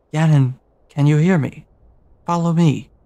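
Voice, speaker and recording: A man's put-on character voice, fairly high-pitched, at a moderate pace. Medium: game stream. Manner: calm, insistent, cryptic.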